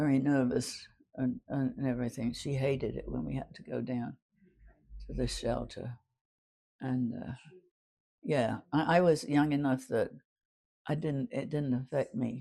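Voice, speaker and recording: A woman speaks at a fairly slow pace with a very deep, low pitch. Her tone is dark and mellow, with vocal fry. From London, England. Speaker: WWII Blitz survivor. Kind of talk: interview answer.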